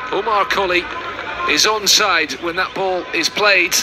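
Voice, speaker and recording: A man's high pitch and fairly even intonation, with music in the background. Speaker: football commentator. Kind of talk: live match commentary over highlights. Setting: highlights video with stadium commentary.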